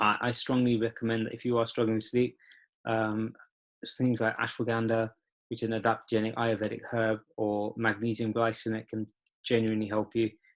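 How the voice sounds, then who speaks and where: At a medium pitch, a man speaks in a monotone, flat intonation. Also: fairly quick pace. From UK. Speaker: personal trainer. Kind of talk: online webinar talk. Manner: fast; halting with fillers.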